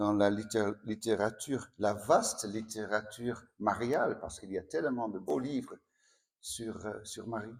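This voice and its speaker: Speaking at a very slow pace with a slight Dutch accent, a man uses a medium pitch in a very clean recording with a silent background. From Netherlands. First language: Dutch (speaking French). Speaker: priest. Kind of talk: spiritual talk. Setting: sanctuary with audience. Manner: halting.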